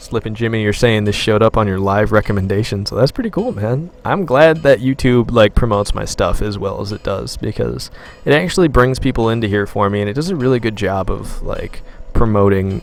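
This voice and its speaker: A quiet, medium-pitched male voice at a fairly quick pace, with ordinary pitch variation, over noticeable background noise. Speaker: gaming live streamer. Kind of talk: live stream chat while gaming. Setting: live stream. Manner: quiet, taking it easy on voice.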